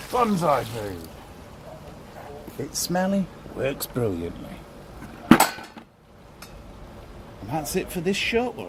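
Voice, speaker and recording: Speaking at a very slow pace with long, frequent pauses, a man uses a fairly high pitch, very wide pitch swings and big swings in loudness. Audible room echo and noticeable background noise fill the recording. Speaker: DIY hobbyist vlogger. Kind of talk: casual tutorial. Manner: chatty, offhand.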